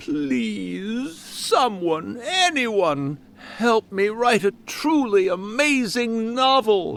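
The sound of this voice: A man performs a put-on character voice at an extremely high pitch with vocal fry and a fairly bright tone. He moves at a very slow pace, with big pitch swings.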